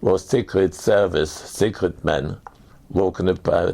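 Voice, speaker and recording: With a German accent, a man speaks fairly slowly in a very deep, low voice with a dark, mellow tone. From Germany. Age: 80s+. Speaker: war veteran. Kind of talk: testimony. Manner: halting.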